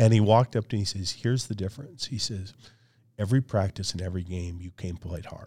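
With an American accent, a man races along at a very fast pace, his fairly low pitch set in a dark, mellow, somewhat breathy tone with ordinary pitch variation and big swings in loudness, all in a very clean recording with a silent background. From Michigan, the Thumb area. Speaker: athletic conference commissioner and leadership coach. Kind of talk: interview. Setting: podcast.

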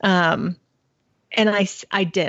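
A woman with an unremarkable speaking voice, medium pitch and ordinary pitch variation. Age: 30s. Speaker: personal finance blogger. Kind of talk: interview.

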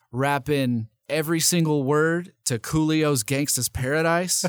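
An unremarkable speaking voice with an American accent. The sound is dry and close with no echo, and the pitch varies in an ordinary way. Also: man. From US South, Nashville, Tennessee. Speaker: radio host and rapper. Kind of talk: casual interview.

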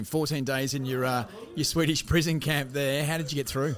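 A fairly quick man with a fairly high pitch and an Australian accent, fairly even intonation and noticeable background noise. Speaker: podcast host. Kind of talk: casual interview; scripted presenting.

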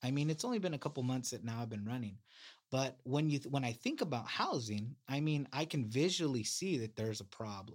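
A normal speaking voice with an American accent and ordinary pitch variation. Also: man, medium pitch for a man, fairly quick pace. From California, Salinas. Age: 30s. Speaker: city council candidate. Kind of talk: interview.

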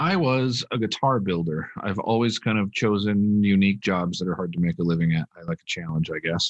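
With an American accent and a normal speaking voice, a man with a fairly low pitch talks at a fairly quick pace with hardly any pauses and ordinary pitch variation, in a dry, close sound with no echo. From Minnesota. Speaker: professional poker player and coach. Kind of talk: casual interview.

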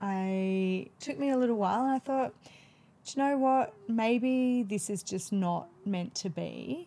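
The voice moves at a fairly slow pace with lively intonation and a dark, mellow tone. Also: woman, medium pitch for a woman. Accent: Australian. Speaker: midwife. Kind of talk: casual interview.

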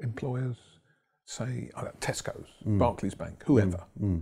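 Over a silent background in a very clean recording, a man with an English accent talks at a moderate pace in a dark, mellow, somewhat breathy tone. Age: 60s. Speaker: property investor and trainer. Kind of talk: interview. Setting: studio.

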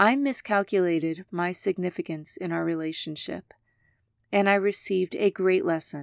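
An unremarkable speaking voice from a woman at medium pitch, with ordinary pitch variation and a moderate pace, in a dry, close sound with no echo. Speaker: podcast host. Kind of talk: poem reading aloud.

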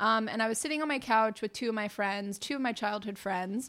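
A woman with an unremarkable speaking voice talks at a moderate pace and a fairly high pitch. The recording is very clean, with a silent background. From US Northeast, Massachusetts (near Boston). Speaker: plant-based chef. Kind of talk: casual chat. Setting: home studio.

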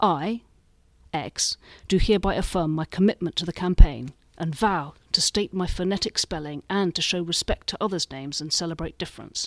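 On a very clean recording with a silent background and a dry, close sound with no echo, a woman with a fairly low pitch speaks with big swings in loudness. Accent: British. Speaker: magazine columnist. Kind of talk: reading aloud.

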